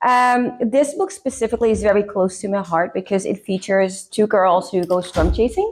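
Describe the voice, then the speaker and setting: A woman speaks with hardly any pauses. Her pitch varies in an ordinary way. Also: medium pitch for a woman, moderate pace. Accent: Dutch. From Netherlands. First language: Dutch. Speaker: author. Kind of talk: casual interview. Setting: makeup session on camera.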